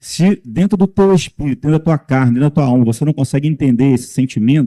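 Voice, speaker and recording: A man with a dark, mellow tone and fairly high pitch with ordinary pitch variation talks at a very fast pace with very even loudness, the sound dry and close with no echo. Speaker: lay preacher. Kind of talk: sermon.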